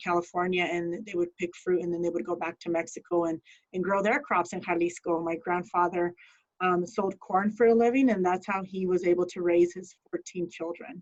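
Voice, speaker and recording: A woman's fairly low voice at a fairly quick pace, with fairly even intonation. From Denver, Colorado (West Denver). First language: Spanish. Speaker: criminal justice professional. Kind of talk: talk to students. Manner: casual, many fillers.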